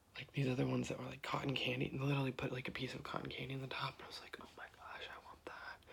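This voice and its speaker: Whispering, a man with an American accent talks. His pace is fairly quick. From US Midwest, Ohio. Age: 20s. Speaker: ASMR creator. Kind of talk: ASMR casual chat. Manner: soft-spoken.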